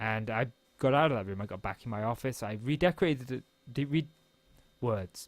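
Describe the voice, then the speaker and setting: Over music in the background, a man mumbles at a medium pitch with lively intonation. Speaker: gaming YouTuber. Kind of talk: casual gameplay vlog monologue. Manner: fast; mumbling.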